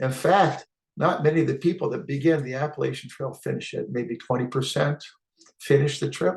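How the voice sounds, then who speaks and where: Speaking at a fairly quick pace, a man with a fairly high pitch shows vocal fry and ordinary pitch variation. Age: 60s. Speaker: hiking vlogger. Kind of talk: casual talk-to-camera tutorial. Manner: hesitant with frequent uh fillers.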